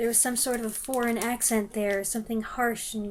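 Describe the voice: The voice is plain reading aloud.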